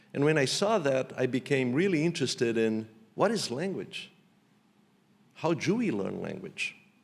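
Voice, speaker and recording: In a very clean recording with a silent background, a man with a strong Portuguese accent and a fairly high voice talks at a moderate pace, with very wide pitch swings and long, frequent pauses. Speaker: economics professor. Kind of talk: keynote lecture.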